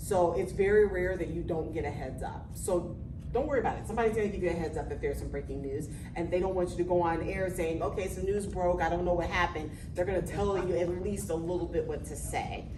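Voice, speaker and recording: A woman talks at a very fast pace, with audible room echo and noticeable background noise. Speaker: TV news anchor. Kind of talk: interview.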